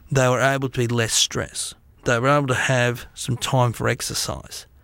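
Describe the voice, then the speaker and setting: A man with an Australian accent, medium pitch and moderate pace, in a very clean recording with a silent background. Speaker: business speaker and author. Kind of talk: interview.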